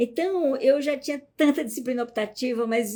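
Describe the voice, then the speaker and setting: A woman with a dark, mellow tone and lively intonation speaks at a fairly slow pace in a very clean recording with a silent background. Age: 60s. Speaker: psychologist and family constellation teacher. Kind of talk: live stream talk. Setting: live stream.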